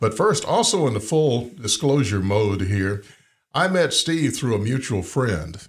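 Very clean and set against a silent background, this recording features a man with an Alabama accent who sounds somewhat breathy. His pitch swings very widely at a fairly slow pace while his loudness stays very even. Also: medium pitch for a man. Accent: Southern US (Alabama). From US South. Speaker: podcast host and author. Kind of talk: casual interview.

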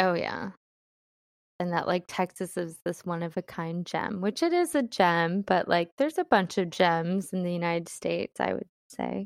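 With an American accent, a woman speaks in a plain, everyday voice at a moderate pace, fairly low in pitch with fairly even intonation, on a very clean recording with a silent background and a dry, close sound with no echo. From US Midwest, Cleveland, Ohio. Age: 30s. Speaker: podcast guest. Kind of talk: casual chat.

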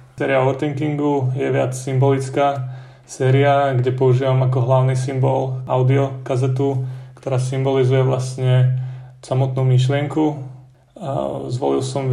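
A man's medium-pitched, flat, monotone voice with audible room echo. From central Slovakia, between Lučenec and Detva. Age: 20s. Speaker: art student. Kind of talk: interview.

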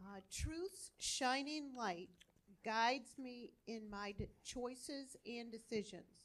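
Speaking very slowly at a high pitch, a woman shows ordinary pitch variation and big swings in loudness. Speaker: church member. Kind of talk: testimony.

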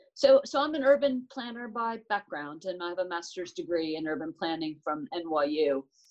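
In an American accent, the speaker's pitch swings very widely. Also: woman, medium pitch for a woman, moderate pace. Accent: American, retained. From United States. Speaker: transport managing director. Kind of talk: live interview.

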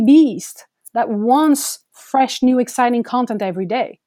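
In a French accent, a woman speaks with a dark, mellow tone and ordinary pitch variation. The recording is very clean, with a silent background. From France. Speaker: photographer. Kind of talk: interview.

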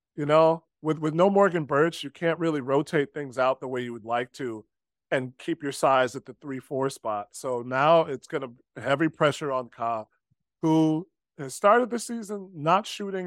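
A man with a plain, everyday voice, fairly high in pitch, speaks at a moderate pace with lively intonation and big swings in loudness, on a very clean recording with a silent background and a dry, close sound with no echo. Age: 30s. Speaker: basketball podcast co-host. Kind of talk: casual sports chat. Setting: home recording at girlfriend's house.

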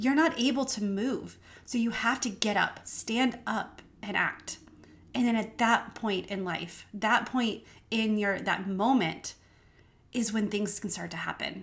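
A woman with an American accent speaks at a moderate pace in a fairly high voice. Her pitch varies in an ordinary way, and her voice is somewhat breathy. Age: 40s. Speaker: podcast host. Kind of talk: faith-based motivational monologue.

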